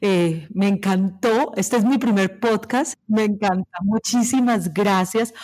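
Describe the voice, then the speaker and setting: A woman speaks at a fairly slow pace, her pitch varying in an ordinary way. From Latin America, born in Peru, Argentine-Colombian parents. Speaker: journalist and happiness coach. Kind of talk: interview. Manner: talkative.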